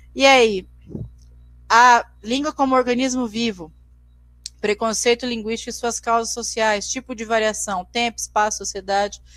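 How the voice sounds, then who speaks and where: A woman's fairly high voice, fairly even in intonation, broken by long, frequent pauses. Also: moderate pace. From Brazil, Mato Grosso do Sul. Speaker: teacher. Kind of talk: lecture. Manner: halting, frequent repetitions.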